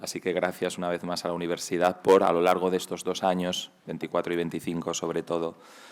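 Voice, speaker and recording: A man's very deep, low voice at a moderate pace. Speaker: museum representative introducing a lecture. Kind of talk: formal introduction. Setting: lecture hall. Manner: halting.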